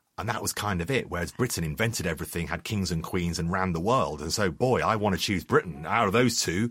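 Over a very clean recording with a silent background, a man with a London accent talks at a very fast pace in a very deep, low pitch with ordinary pitch variation. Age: 50s. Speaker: journalist and author. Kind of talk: interview. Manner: halting.

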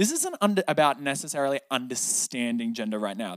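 A man with an Australian accent talks at a fairly quick pace with lively intonation, in a dry, close sound with no echo. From Sydney, Australia. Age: 20s. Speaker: breathwork and meditation teacher. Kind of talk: casual interview.

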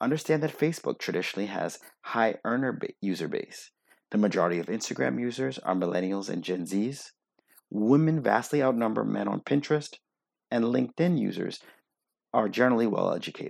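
With a normal speaking voice, a man talks at a fairly quick pace and a medium pitch with lively intonation, on a very clean recording with a silent background. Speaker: optometrist and practice owner. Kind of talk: reading aloud.

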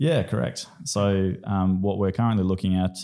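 A man with an Australian accent speaks in a very deep, low voice with a dark, mellow tone and ordinary pitch variation. The recording is very clean with a silent background. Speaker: PhD researcher and esports program co-founder. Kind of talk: interview. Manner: hesitant, many fillers.

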